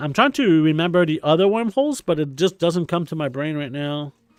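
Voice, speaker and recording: A man with a Quebec accent and a fairly high pitch speaks at a fairly quick pace in a very clean, dry, close recording with a silent background and no echo. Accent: French Canadian accent in English. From Quebec, French Canada. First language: French. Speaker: video game streamer. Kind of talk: live stream commentary. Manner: casual, many filler words.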